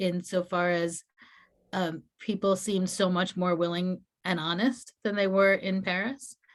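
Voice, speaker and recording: A woman speaks fairly slowly with a quiet background. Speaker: minister. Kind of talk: Q&A talk.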